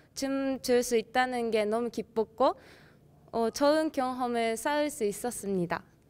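A woman talks with a Japanese accent at a fairly slow pace. Her voice is high, with ordinary pitch variation. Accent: Japanese-accented Korean. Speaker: dance club member. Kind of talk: interview, club introduction. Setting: video shoot with slate. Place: hall. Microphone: handheld.

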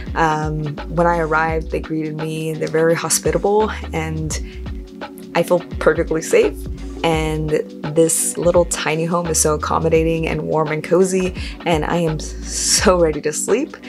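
At a moderate pace, a woman talks while clear music sounds behind her. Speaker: travel vlogger. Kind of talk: casual vlog chat. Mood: cheerful, relaxed. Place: home room. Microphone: phone near.

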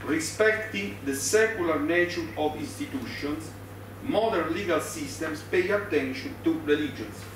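Over noticeable background noise and audible room echo, a man speaks at a fairly slow pace with very wide pitch swings. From Italy. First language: Italian. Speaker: law professor. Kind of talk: conference lecture. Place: meeting room. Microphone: podium.

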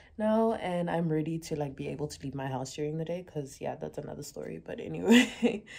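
The speaker is a woman. Very wide swings mark her pitch. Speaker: vlogger. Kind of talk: casual vlog chat. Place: home room. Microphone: phone near.

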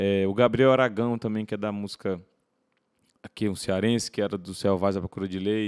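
A man talks at a fairly quick pace in a monotone, flat intonation. The sound is dry and close, with no echo. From Ceará, Brazil (Fortaleza). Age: 30s. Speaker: singer-songwriter. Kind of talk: interview conversation. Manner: repetitive hesitant fillers.

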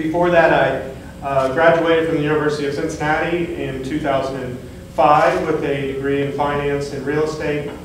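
A man with an American accent, fairly high-pitched, monotone and flat, at a moderate pace with hardly any pauses, light background noise and audible room echo. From southwest Ohio. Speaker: state board of education member, attorney. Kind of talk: public meeting presentation. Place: meeting room. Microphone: camera far.

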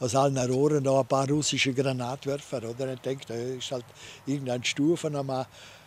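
A man with a Vorarlberg accent speaks at a moderate pace, his pitch fairly high. The sound is dry, with no echo. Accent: Vorarlberg Alemannic dialect. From Vorarlberg, Austria. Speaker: war veteran. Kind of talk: interview answer, wartime recollection. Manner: hesitant, conversational. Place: garden. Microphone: studio mic.

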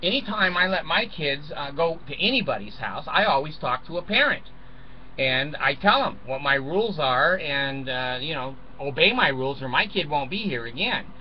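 A man speaks at a moderate pace with a fairly high pitch and lively intonation. Background noise is clearly heard.

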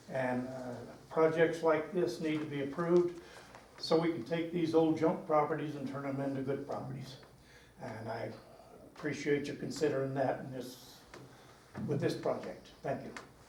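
A man's fairly high voice with fairly even intonation, long, frequent pauses and big swings in loudness, over noticeable background noise and audible room echo. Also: moderate pace. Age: 80s+. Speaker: motel owner. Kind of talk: public comment at meeting. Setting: public meeting.

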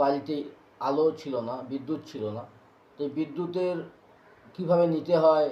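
A man speaks in a normal speaking voice, fairly high in pitch and with fairly even intonation. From West Bengal, Purba Bardhaman district. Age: 40s. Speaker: social worker. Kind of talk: interview testimony.

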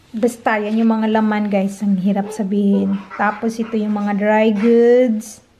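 A woman talks in a monotone, flat intonation over light background noise. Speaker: vlogger. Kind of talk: casual vlog chat.

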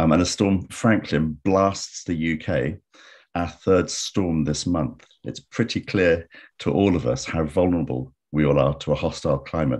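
This man's voice sits at a very deep, low pitch with vocal fry and ordinary pitch variation. He speaks at a fairly slow pace against a quiet background. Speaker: webinar host. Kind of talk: webinar host introduction. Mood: warm, optimistic. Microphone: video call.

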